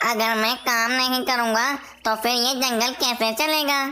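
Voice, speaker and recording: A cartoonish character voice that sounds female talks at a fairly high pitch and a fairly slow pace. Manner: earnest, concerned.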